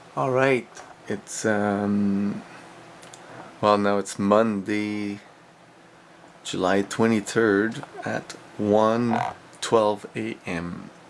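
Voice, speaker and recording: A man with a French accent talks at a very slow pace in a fairly low pitch, his intonation fairly even. Long, frequent pauses break up his speech over noticeable background noise. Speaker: former English teacher in Korea. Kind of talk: video diary talk to camera. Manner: casual.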